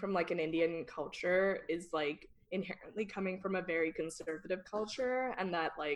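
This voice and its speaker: With music playing in the background, a woman with a Californian accent talks at a medium pitch with ordinary pitch variation. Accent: Californian Valley. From Northern California. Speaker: podcast guest. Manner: casual, uses 'like' a lot.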